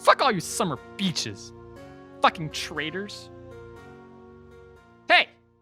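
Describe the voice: Over faint music in the background, a woman performs a put-on character voice at a slow pace, fairly low in pitch with big pitch swings and a bright, sharp tone with a husky, rough edge.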